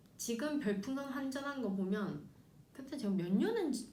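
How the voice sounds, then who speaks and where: Lively intonation marks a woman speaking with a Busan accent amid audible room echo. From South Korea, Busan. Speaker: announcer and former streamer. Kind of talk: interview. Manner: casual, frank.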